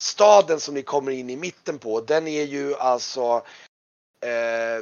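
This man's voice sits at a fairly high pitch with ordinary pitch variation.

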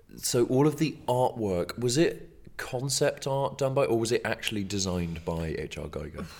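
An unremarkable speaking voice from a man, medium in pitch, with lively intonation. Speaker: film podcast host. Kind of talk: casual chat. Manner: dry, joking.

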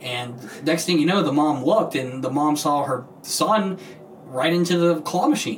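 Audible room echo and noticeable background noise surround a man speaking at a moderate pace. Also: fairly high pitch for a man, ordinary pitch variation. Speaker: podcast host. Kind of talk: casual chat.

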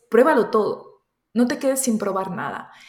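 In a room with audible echo, a woman speaks with a fairly high pitch and ordinary pitch variation. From Colombia and Spain. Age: 30s. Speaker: entrepreneur and youtuber. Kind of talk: interview.

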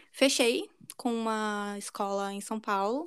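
A woman's voice at a fairly high pitch. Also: very clean recording, silent background. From Brazil. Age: 20s. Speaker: podcast co-host. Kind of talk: casual chat.

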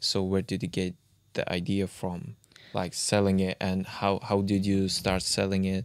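In an Uzbek accent, a man speaks at a fairly slow pace in a very deep, low, flat monotone. The recording is very clean, with a silent background. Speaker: podcast co-host. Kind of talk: casual interview.

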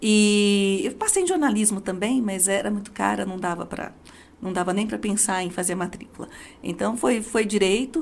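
With an ordinary speaking voice, a woman talks at a moderate pace, her pitch medium and its variation ordinary. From Brazil, Diadema (São Paulo). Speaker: judge and law professor. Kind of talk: interview.

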